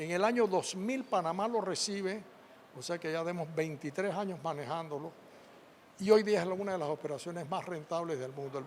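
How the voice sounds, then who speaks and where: His pitch sits high for a man. This male speaker keeps a moderate pace. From Panama. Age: 80s+. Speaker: former agriculture minister and businessman. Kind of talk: interview. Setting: event venue.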